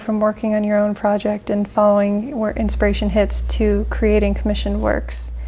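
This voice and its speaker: A woman speaking at a moderate pace. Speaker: interviewer. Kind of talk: interview. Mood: curious, friendly. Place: studio.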